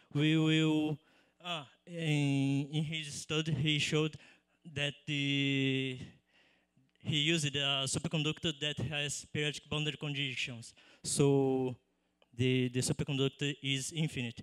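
With a Portuguese accent, a man speaks fairly slowly in a monotone, flat intonation, pausing long and often against a quiet background. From Brazil. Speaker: PhD student; conference presenter. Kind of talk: conference poster pitch. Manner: halting. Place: hall. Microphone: handheld.

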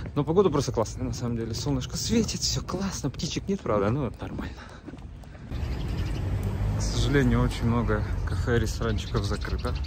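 Delivered at a fairly quick pace, the voice sounds dry with no echo, and noticeable background noise runs underneath. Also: man. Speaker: vlogger. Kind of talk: casual vlog chat. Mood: cheerful, relaxed. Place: street. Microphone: phone near.

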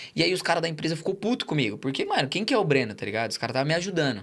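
This man talks with a São Paulo accent and lively intonation. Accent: São Paulo Brazilian Portuguese. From São Paulo state, Brazil. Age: 20s. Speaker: former footballer; podcast guest. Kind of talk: casual chat. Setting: studio. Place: studio. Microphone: studio mic.

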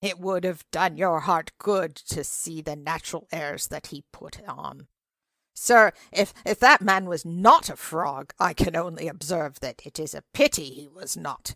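In a put-on character voice, a woman speaks with a theatrical tone at a fairly low pitch. Her delivery is croaky and comes at a fairly slow pace. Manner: eager, theatrical, imitating croaks.

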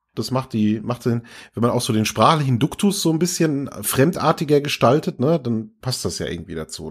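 In a very clean recording with a silent background, a man at a medium pitch talks at a fairly quick pace with very wide pitch swings. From Franconia, Germany. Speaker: podcast host. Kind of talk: casual chat.

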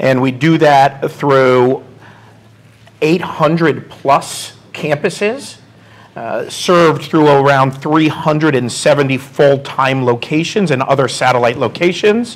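At a slow pace, a man talks in a medium-pitched voice. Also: ordinary pitch variation.

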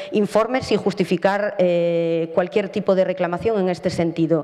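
Over faint background noise, a woman speaks with a dark, mellow tone at a fairly low pitch with ordinary pitch variation.

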